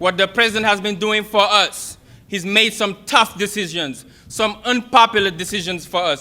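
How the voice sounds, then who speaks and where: A man with a Senegalese accent uses a raised, projected voice, a high pitch, and a bright, sharp tone, speaking at a moderate pace with fairly even intonation. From Senegal (Kaolack). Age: young. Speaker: political youth organizer. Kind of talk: campaign speech. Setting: stage with audience.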